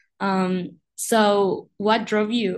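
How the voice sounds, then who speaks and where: In a Spanish accent, a woman speaks at a medium pitch. Her intonation is monotone and flat, over a quiet background. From Uruguay. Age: 20s. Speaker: podcast host, university student. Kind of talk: interview.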